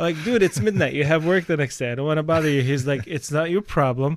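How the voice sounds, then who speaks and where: The intonation is lively as a man talks. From Palestine. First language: Arabic. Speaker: podcast host. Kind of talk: interview. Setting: studio.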